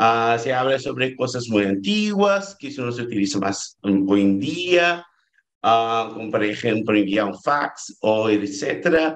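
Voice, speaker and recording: A man with a Brazilian accent talks at a fairly slow pace. His intonation is lively, and the background is quiet. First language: Portuguese (speaking Spanish). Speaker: doctoral researcher; presenter. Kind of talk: conference talk. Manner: halting. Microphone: video call.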